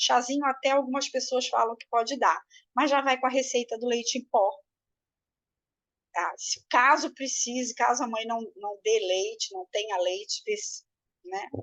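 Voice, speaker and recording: Over a quiet background, a woman speaks at a moderate pace in a high pitch, with ordinary pitch variation, big swings in loudness, and long, frequent pauses. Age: 60s. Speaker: breastfeeding consultant and course teacher. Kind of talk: lecture. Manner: hesitant with frequent fillers.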